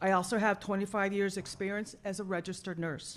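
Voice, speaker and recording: Against a quiet background, a woman talks at a very fast pace with a medium pitch. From South Florida. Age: 60s. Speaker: public commenter, retired paramedic and nurse. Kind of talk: public comment at a school board meeting. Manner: formal.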